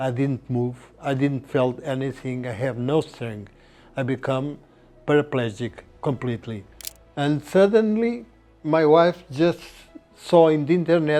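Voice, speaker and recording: Over music in the background, a man with a Portuguese accent speaks in a fairly high pitch with ordinary pitch variation and long, frequent pauses. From Portugal. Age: 70s. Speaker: patient, retired surgeon. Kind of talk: interview testimony. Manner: halting.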